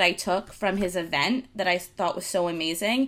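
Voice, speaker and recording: A woman speaks in an unremarkable speaking voice at a fairly quick pace with lively intonation. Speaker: podcast host. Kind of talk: casual chat.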